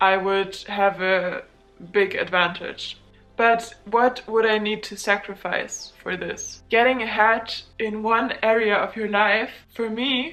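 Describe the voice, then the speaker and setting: A woman with a German accent speaks very slowly at a fairly high pitch, with fairly even intonation. Music plays in the background. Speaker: student vlogger. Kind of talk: casual vlog monologue.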